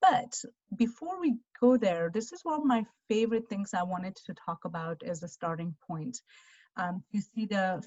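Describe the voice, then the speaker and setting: This somewhat breathy voice moves at a moderate pace with lively intonation. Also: woman. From Armenia. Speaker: financial advisor. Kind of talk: presentation. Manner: halting.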